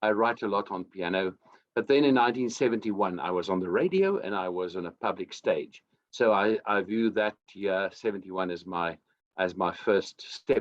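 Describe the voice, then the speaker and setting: Speaking at a moderate pace, a man with a South African accent has a fairly low-pitched voice. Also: ordinary pitch variation. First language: Afrikaans. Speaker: singer-songwriter. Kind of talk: interview.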